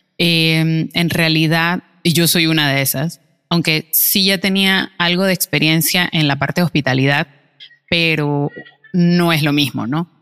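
With music in the background, a woman speaks at a fairly slow pace and fairly low pitch, her intonation fairly even and her loudness very even, the sound dry and close with no echo. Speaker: podcast co-host, barista. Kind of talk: casual chat. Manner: calm, subdued.

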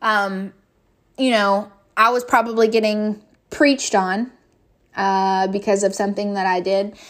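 A woman with a Kentucky accent speaks at a fairly slow pace. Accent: Southern US (Kentucky). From US South, western Kentucky. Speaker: podcast host. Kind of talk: casual monologue. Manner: hesitant, many fillers.

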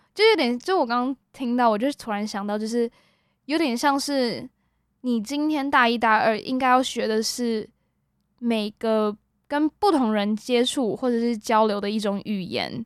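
Recorded very cleanly over a silent background, a woman speaks at a moderate pace in a high pitch with ordinary pitch variation. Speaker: university student podcast host. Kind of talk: casual chat.

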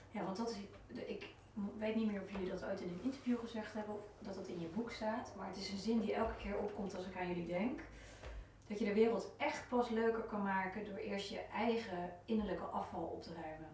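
Amid noticeable background noise and audible room echo, a woman talks fairly quickly at a medium pitch with fairly even intonation. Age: 40s. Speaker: podcast host. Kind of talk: interview.

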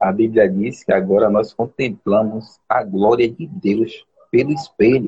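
A somewhat breathy man talks at a fairly slow pace. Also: medium pitch for a man. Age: 40s. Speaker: postal worker. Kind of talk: casual chat. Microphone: unstable connection.

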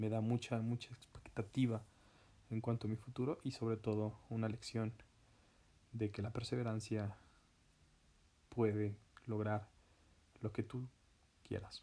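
A man speaks at a medium pitch with a dark, mellow tone and monotone, flat intonation. His pace is fairly slow, broken by long, frequent pauses. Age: 20s. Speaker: podcaster. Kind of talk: personal monologue.

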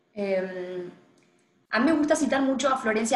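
A woman's fairly quick speech with audible echo from the room. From Argentina, Tucumán (northwest). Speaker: feminist activist and political scientist. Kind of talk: interview.

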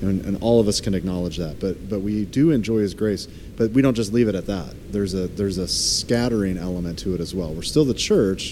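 Over noticeable background noise, a man with an American accent speaks fairly quickly, his pitch fairly low with ordinary variation. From Florida. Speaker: pastor. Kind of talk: casual chat.

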